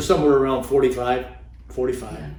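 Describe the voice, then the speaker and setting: A man talks against noticeable background noise. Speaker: actor. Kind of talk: interview answer. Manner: dry wit.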